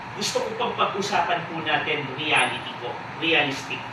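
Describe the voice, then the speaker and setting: A loud man's voice at a fairly slow pace, with audible room echo and noticeable background noise. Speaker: company chairman. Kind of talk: motivational talk to audience. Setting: hotel event hall with live audience. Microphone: speaking without a microphone.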